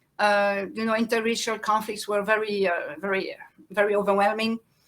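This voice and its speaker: A woman with a French accent speaks at a moderate pace in a very clean recording with a silent background. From France and Belgium. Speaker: farmer and activist. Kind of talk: interview. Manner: halting.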